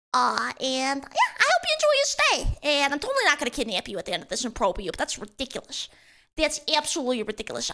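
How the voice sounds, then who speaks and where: A woman with a strong Boston accent at a fairly quick pace. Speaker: VTuber streamer. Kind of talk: live stream chat. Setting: live stream. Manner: animated.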